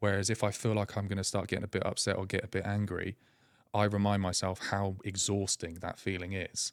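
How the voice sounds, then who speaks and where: A man's fairly low, flat, monotone voice at a fairly quick pace on a very clean recording with a silent background. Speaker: patient sharing his medical story. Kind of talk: podcast interview. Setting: podcast studio. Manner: fast; occasional halting speech.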